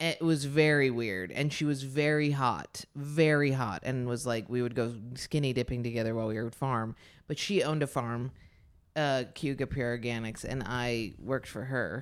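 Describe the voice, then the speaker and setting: The voice has an American accent with ordinary pitch variation. The recording is very clean, with a silent background. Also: woman, very deep, low pitch for a woman. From upstate New York (Ithaca). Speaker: stand-up comedian. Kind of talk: casual chat. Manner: animated, fast.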